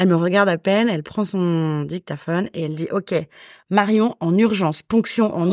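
In a very clean recording with a silent background, a woman speaks at a moderate pace. Her medium-pitched voice has ordinary pitch variation and a dry, close sound with no echo. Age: 30s. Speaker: guest sharing egg freezing story. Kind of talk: testimony. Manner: hesitant, many fillers.

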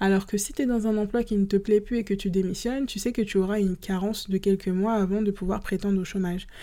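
The voice has a dark, mellow tone and fairly even intonation, moving at a very fast pace with hardly any pauses. The recording is very clean, with a silent background. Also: woman, medium pitch for a woman. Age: 30s. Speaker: podcast host, freelance photographer. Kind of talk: casual solo podcast monologue.

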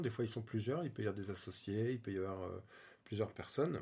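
This man's voice has a dark, mellow tone. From Île-de-France (Vallée de Chevreuse). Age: 40s. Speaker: interior designer and property investor. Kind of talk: interview. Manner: casual, hesitant with fillers.

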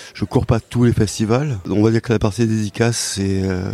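Dark and mellow in tone, a man speaks at a fairly low pitch and a moderate pace, with ordinary pitch variation and a dry, close sound with no echo. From rural Cantal, France. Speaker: comics author and illustrator. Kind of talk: interview. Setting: comics festival. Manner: hesitant, many repetitions.

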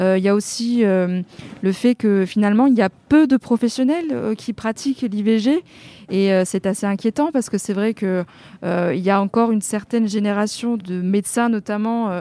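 Her tone is dark and mellow, at medium pitch. The woman speaks at a moderate pace with ordinary pitch variation. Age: 30s. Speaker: prevention worker. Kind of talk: interview. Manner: hesitant, many fillers.

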